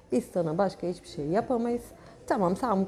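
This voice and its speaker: This woman has an ordinary speaking voice, medium in pitch, with lively intonation and a moderate pace. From Turkey, Çanakkale region (childhood on Gökçeada). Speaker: painter. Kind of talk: casual chat. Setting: cafe / inn venue.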